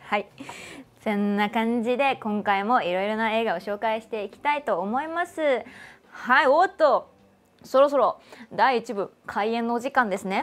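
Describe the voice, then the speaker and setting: With lively intonation, a woman talks at a moderate pace in a fairly high pitch. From Kanagawa, Japan. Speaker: voice actor and show host. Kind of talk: casual talk to camera, livestream radio-style show. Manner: cheerful, chatty. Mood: cheerful, friendly. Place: studio. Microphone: lapel.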